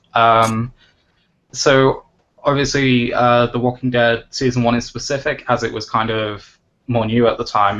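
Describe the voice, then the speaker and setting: Fairly even intonation marks a man's medium-pitched delivery in an ordinary speaking voice. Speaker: games journalist. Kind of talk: interviewer questions.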